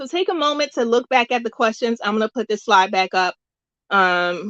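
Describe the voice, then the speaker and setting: A plain, everyday voice from a woman with an American accent, fairly high in pitch, with lively intonation at a moderate pace, in a dry, close sound with no echo over a quiet background. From US South. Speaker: music workshop host. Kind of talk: workshop tutorial.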